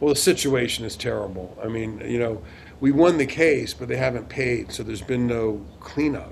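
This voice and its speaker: With audible room echo and noticeable background noise, a man at medium pitch speaks at a moderate pace with lively intonation. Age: 60s. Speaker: lawyer. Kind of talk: interview.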